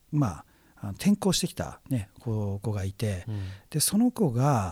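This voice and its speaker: A man speaks at a fairly slow pace with very wide pitch swings, in a very clean recording that is dry and close with no echo over a silent background. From Japan, Chiba (Yachiyo). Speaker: radio host, cultural analyst. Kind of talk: casual chat.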